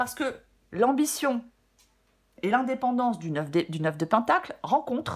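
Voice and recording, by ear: Fairly high-pitched with a slightly husky edge, a woman talks at a moderate pace with lively intonation.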